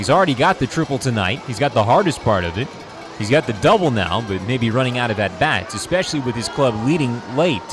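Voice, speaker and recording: Over music in the background, a man talks at a fairly quick pace and medium pitch, his tone energetic and his intonation lively. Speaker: baseball radio play-by-play announcer. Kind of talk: live sports radio play-by-play. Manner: fast, energetic, descriptive.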